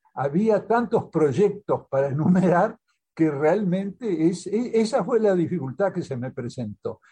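A man with a high-pitched voice and a dark, mellow tone speaks at a fairly slow pace with lively intonation. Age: 80s+. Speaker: diplomat and author. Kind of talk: interview. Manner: halting, many repetitions.

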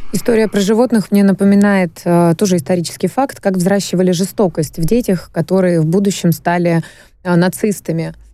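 This woman's voice has a dark, mellow tone and very even loudness. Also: medium pitch for a woman, ordinary pitch variation, fairly quick pace. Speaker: radio host. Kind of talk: casual talk show discussion. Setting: radio studio. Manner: animated, playful.

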